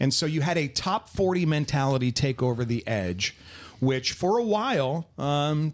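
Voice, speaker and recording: Here is a man with a plain, everyday voice and fairly high pitch. His intonation is lively, his pace moderate and his loudness very even. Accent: American. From New Jersey. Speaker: radio DJ and stadium PA announcer. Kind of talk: interview answer.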